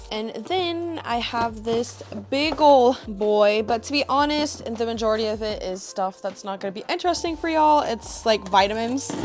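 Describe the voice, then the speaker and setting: With hardly any pauses, a woman talks at a moderate pace in an upbeat tone, her fairly high voice carrying lively intonation over noticeable background noise. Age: 20s. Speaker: artist and vlogger. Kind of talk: casual vlog chat. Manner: chatty, upbeat.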